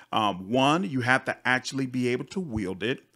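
On a very clean recording with a silent background, a man with a plain, everyday voice talks at a moderate pace and a medium pitch. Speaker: gaming youtuber. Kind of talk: video game review. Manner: upbeat.

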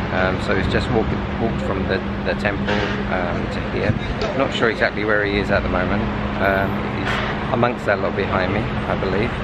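Against loud background noise, a man speaks at a fairly quick pace with ordinary pitch variation. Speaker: traveller vlogger. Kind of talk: casual vlog chat. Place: street. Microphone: phone near.

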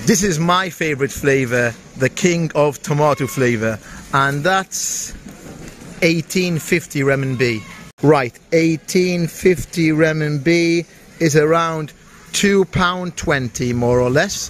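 A man with a British accent speaks very slowly in a fairly high voice with ordinary pitch variation. The sound is dry with no echo, over light background noise. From UK. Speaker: travel vlogger. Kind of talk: vlog walkthrough. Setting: supermarket on location. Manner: animated. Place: shop.

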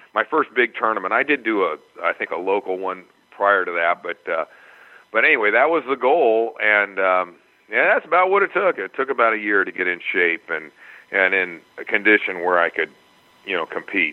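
A man's ordinary speaking voice, fairly low in pitch, with lively intonation at a moderate pace. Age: 60s. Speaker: Brazilian jiu-jitsu purple belt competitor. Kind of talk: interview answer.

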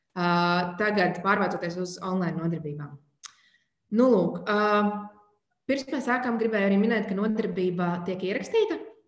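Ordinary pitch variation with audible room echo and a quiet background. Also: woman, medium pitch for a woman. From Latvia. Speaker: webinar moderator. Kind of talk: event introduction. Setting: video call webinar. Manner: hesitant, many fillers. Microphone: webcam.

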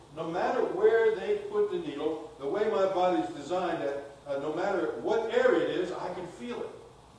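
Speaking at a moderate pace with hardly any pauses, a man is heard in strong room echo. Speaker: pastor. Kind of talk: sermon. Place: church.

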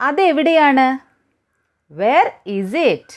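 A woman speaks in a high pitch. Her voice makes very wide pitch swings. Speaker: spoken English teacher. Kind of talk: language lesson drill.

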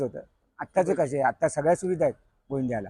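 A man with a plain, everyday voice talks in a rather high register, his pitch varying normally. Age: 40s. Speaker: senior member of a Govinda troupe. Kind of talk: reminiscing interview monologue.

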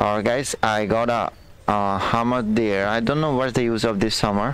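Speaking at a fairly slow pace with ordinary pitch variation, a man with an Indian accent sounds dry with no echo, against light background noise. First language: Hindi. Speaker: gaming streamer. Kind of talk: live game commentary. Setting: live stream. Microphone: headset.

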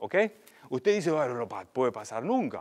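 A man's fairly high voice with very wide pitch swings against a quiet background. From Germany. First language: German (speaking Spanish). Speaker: agricultural researcher; invited lecturer. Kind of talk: seminar lecture; lecture. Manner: halting. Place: hall.

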